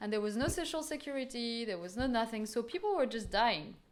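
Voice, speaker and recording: A woman with a high pitch and ordinary pitch variation speaks amid audible room echo. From France. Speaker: art curator and researcher. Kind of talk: lecture. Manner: hesitant, many fillers.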